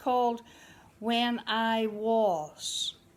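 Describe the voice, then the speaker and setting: A woman with a Northern Irish accent speaks at a fairly high pitch on a very clean recording with a silent background. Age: 60s. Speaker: amateur poet. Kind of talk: poetry reading.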